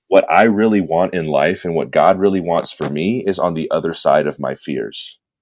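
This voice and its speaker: A man with a Californian accent talks with hardly any pauses. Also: moderate pace. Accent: Californian American English. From Southern California (San Bernardino). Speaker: entrepreneur and purpose coach. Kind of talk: podcast interview.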